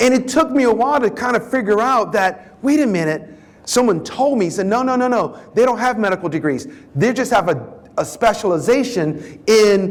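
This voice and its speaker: Noticeable background noise surrounds this recording. A man speaks in an animated tone at a high pitch. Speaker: professor, diversity speaker. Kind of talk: keynote talk.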